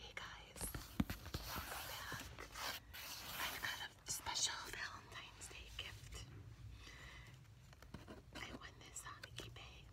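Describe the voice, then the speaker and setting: Long pauses come often, and the talking itself goes very slowly. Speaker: ASMR creator. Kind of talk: ASMR unboxing talk. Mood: delighted. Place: home room. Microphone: phone near.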